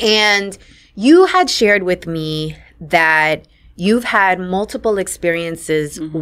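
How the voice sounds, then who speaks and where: A woman with a New York accent speaks at a fairly slow pace in a fairly low voice, her pitch varying in an ordinary way against a quiet background. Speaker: podcast host. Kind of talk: interview; scripted intro. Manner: animated. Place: studio. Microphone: studio mic.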